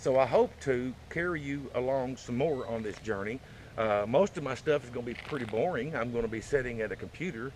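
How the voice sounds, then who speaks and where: At a fairly quick pace, a man speaks with a Southern US accent. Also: medium pitch for a man, ordinary pitch variation. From Arkansas. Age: 50s. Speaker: vlogger. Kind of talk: casual chat. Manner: halting, many fillers.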